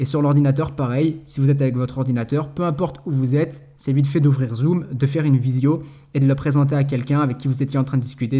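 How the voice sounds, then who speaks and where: At a very fast pace, a man speaks in a medium-pitched, somewhat breathy voice with a dark, mellow tone and monotone, flat intonation, on a very clean recording with a silent background. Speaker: network marketing trainer. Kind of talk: tutorial. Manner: casual.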